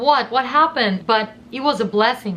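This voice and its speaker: A woman with a Russian accent at a fairly quick pace, ordinary pitch variation, noticeable background noise. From southern Russia. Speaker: YouTuber. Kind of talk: personal storytime monologue. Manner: animated.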